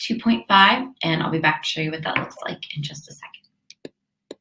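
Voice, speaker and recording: A woman's very deep, low-pitched voice with a bright, sharp tone, at a fairly slow pace. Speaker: beauty vlogger. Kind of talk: tutorial. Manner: casual, chatty.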